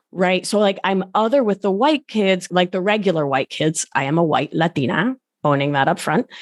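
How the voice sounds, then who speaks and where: A woman with an American accent speaks at a moderate pace in a medium pitch, her intonation lively and her loudness very even, recorded dry and close with no echo against a quiet background. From Providence, Rhode Island, US, Argentine family. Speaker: podcast host and life coach. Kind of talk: casual chat. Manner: animated.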